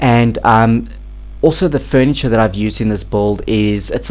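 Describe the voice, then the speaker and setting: Background noise is clearly present in this clip. Over it, a man talks fairly quickly. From South Africa. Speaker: gaming YouTuber. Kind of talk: game build commentary. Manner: hesitant, many fillers; casual.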